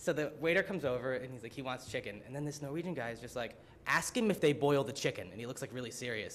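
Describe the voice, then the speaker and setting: A man with an American accent speaks very fast, with noticeable noise in the background. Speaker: student. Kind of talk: student presentation. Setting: symposium audience. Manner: casual, filler-heavy (frequent 'like', 'um'); animated.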